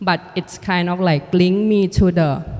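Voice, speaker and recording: Moderate pace and fairly even intonation, in a Thai accent. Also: woman. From Thailand. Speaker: artist and filmmaker. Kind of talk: panel conversation. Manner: halting.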